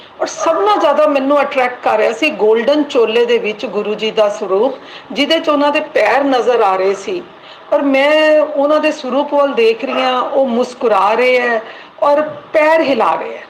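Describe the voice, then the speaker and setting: Lively intonation comes through noticeable background noise. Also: woman, high pitch for a woman. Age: 60s. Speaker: devotee sharing experience. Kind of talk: testimony.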